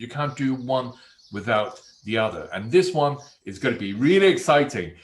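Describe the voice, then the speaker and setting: Somewhat breathy and medium in pitch, a man's voice moves at a moderate pace with very wide pitch swings. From Hong Kong, raised in England from age 12. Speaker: property investment trainer. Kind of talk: online masterclass.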